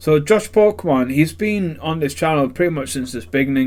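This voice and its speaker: A man with a Yorkshire accent. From northern England, Sheffield. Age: 30s. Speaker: YouTuber, card collector. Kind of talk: casual vlog talk. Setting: spare bedroom at home. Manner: hesitant, many fillers.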